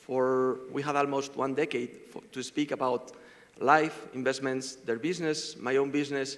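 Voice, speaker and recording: A man's fairly high voice with a Spanish accent and flat, monotone intonation. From Spain. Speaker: fund manager. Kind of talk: panel discussion. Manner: fast.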